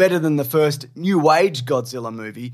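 A man with an Australian accent speaks at a moderate pace with ordinary pitch variation in a very clean recording with a silent background. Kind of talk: casual chat; reading aloud.

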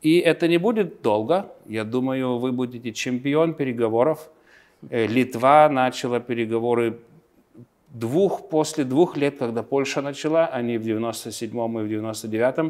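At a fairly slow pace and with ordinary pitch variation, a man speaks in a Lithuanian accent against a quiet background. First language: Lithuanian (speaking Russian). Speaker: politician. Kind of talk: interview; interview answer. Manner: halting. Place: office. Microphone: lapel.

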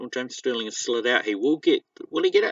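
A man speaks quietly. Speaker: diecast racing commentator. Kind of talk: live commentary. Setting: outdoors. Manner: kept quiet, subdued volume; animated.

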